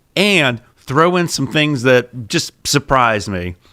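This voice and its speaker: A man speaks in an animated way with lively intonation and a strong Pittsburgh accent. His tone is bright and sharp. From Pittsburgh, US. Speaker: podcast co-host, TV show host. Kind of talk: casual chat.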